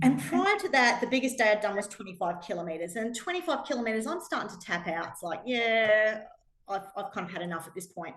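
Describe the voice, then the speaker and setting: Animated and very fast, a woman speaks in an Australian accent with very wide pitch swings. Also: fairly high pitch for a woman, big swings in loudness. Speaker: pilgrim sharing travel experiences. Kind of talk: talk to a small audience.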